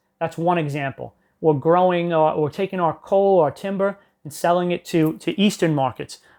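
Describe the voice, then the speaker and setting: Loud and at a high pitch, a man speaks at a moderate pace with fairly even intonation in a very clean recording with a silent background. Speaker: history teacher. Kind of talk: classroom lecture. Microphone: no microphone on.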